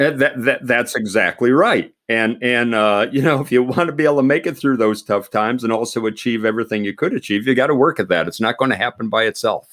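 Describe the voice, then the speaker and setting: In a very clean recording with a silent background, a medium-pitched man with an American accent talks very fast, hardly pausing at all. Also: ordinary pitch variation. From Pennsylvania. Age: 60s. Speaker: retired army general. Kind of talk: interview. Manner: halting, many repetitions.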